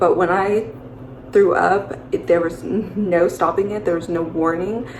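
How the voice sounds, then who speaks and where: Audible room echo and noticeable background noise surround a woman's voice. She has a medium pitch, a moderate pace and fairly even intonation. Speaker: vlogger sharing pregnancy story. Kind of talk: personal testimony. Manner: casual, many fillers.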